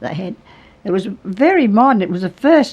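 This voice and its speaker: A woman speaks with an Australian accent. Her pace is moderate. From New South Wales, Australia. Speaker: retired radio and opera singer. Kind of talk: interview answer.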